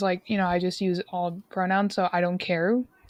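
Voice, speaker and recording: At a moderate pace, a woman speaks in a medium pitch with a dry, close sound and no echo. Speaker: podcast guest. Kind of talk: casual interview chat. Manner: pitched up to sound professional.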